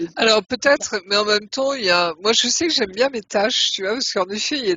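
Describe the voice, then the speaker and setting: Noticeable background noise behind a woman's fairly quick, fairly high speech, her pitch varying in an ordinary way. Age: 60s. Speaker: regressive hypnosis practitioner. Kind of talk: casual chat.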